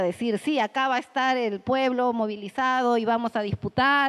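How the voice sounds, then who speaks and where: A woman with an unremarkable speaking voice talks at a moderate pace and fairly high pitch, with ordinary pitch variation and a dry, close sound with no echo. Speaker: political analyst. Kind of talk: panel talk. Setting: room with audience.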